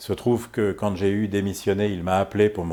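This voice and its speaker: In a very clean recording with a silent background, a man speaks in a dark, mellow tone at a fairly low pitch. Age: 60s. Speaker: politician. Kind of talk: prepared political statement. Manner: hesitant, many fillers.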